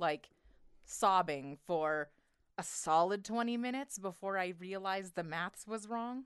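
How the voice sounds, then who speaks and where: In an unremarkable speaking voice, a woman talks fairly slowly at a medium pitch with ordinary pitch variation. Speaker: podcast co-host. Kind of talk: casual comedic banter.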